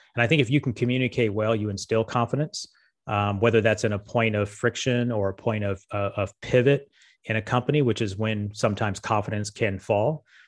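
A man with a General American accent speaks at a fairly quick pace, his pitch fairly low and his intonation fairly even. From Las Vegas, Nevada. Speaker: marketing agency co-founder. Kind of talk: interview. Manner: halting.

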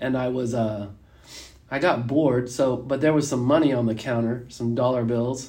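A man speaks at a moderate pace in a dark, mellow tone with fairly even intonation. Audible room echo fills the recording. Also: medium pitch for a man. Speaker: podcast host. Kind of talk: casual chat.

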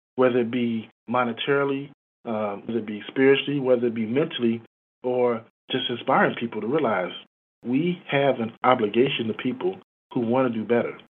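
With an American accent and an unremarkable speaking voice, a man talks at a fairly quick pace and medium pitch, his intonation fairly even. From Chicago, US. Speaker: credit union executive. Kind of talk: interview.

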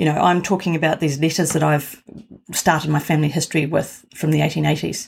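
At a very fast pace, a woman with a New Zealand accent speaks with a very deep, low pitch, vocal fry, fairly even intonation and very even loudness. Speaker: professional genealogist. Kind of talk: interview.

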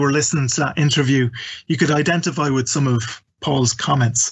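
The speaker has an Irish accent and ordinary pitch variation. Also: man. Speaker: event host. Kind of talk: live webinar hosting. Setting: online live event.

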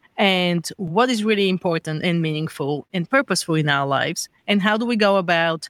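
A Bulgarian accent at a moderate pace, in a very clean recording with a silent background. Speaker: founder of a well-being organization, former marketer. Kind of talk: interview.

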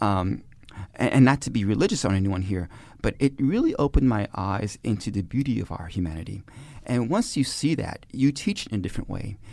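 This man has a normal speaking voice with a fairly low pitch and an American accent. He talks at a fairly quick pace. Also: lively intonation. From Brooklyn, New York. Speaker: sociology professor. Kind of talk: interview. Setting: studio.

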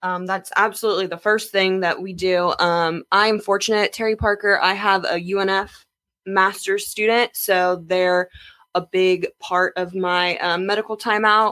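A woman speaks in a medium pitch with an American accent. Her intonation is monotone and flat. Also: moderate pace. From Jacksonville, Florida. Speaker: athletic trainer. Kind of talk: interview.

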